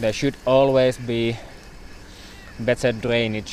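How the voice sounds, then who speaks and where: Over noticeable background noise, a man speaks at a very slow pace in a medium pitch with monotone, flat intonation. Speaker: cycling vlogger. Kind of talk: live stream commentary. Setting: outdoors on a bicycle. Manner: loud.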